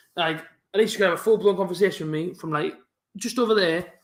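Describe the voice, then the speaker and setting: A man with a strong Teesside accent, very fast in pace, with ordinary pitch variation. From northern England. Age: 20s. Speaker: football fan streamer. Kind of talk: live football watch-along chat.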